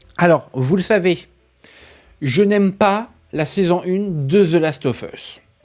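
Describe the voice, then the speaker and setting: The speech moves at a very slow pace, with long, frequent pauses. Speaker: gaming and film news youtuber. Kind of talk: casual news vlog. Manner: calmer, subdued.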